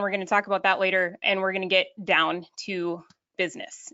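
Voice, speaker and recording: With a northern Minnesota accent, a woman talks at a fairly quick pace. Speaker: online business coach. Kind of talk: webinar presentation. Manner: fast.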